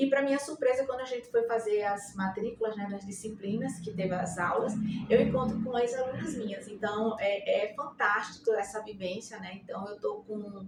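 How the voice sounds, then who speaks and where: Behind this woman's fairly high voice there is noticeable background noise. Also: ordinary pitch variation, moderate pace, hardly any pauses. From Brazil, Rio Grande do Norte (Natal). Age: 60s. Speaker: nursing professor. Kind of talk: interview. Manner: halting, many fillers.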